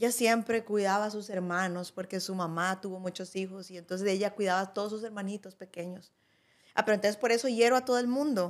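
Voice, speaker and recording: In a Costa Rican accent, the speaker goes at a very fast pace with fairly even intonation over a quiet background. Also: woman. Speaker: podcast co-host. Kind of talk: casual conversational podcast chat. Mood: reflective, earnest. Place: studio. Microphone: studio mic.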